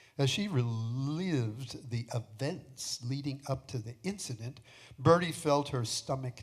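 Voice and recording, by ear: A natural voice reading aloud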